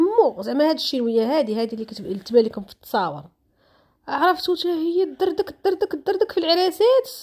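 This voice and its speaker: Extremely high-pitched and animated, a woman talks at a fairly quick pace. Her pitch swings very widely and her loudness shifts a lot. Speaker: social media commentator. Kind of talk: casual vlog commentary.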